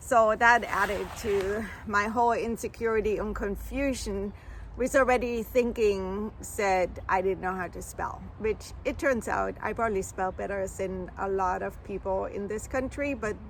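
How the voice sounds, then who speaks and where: With a German accent, a woman speaks at a moderate pace. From Germany. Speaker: vlogger. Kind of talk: casual vlog monologue.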